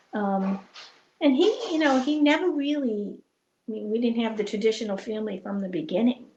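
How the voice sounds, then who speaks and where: Fairly high-pitched yet dark and mellow in tone, this woman's voice is somewhat breathy, with lively intonation. She moves at a fairly quick pace but takes long, frequent pauses. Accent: American. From New England (Boston area). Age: 70s. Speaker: estranged parent. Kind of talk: interview. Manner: halting.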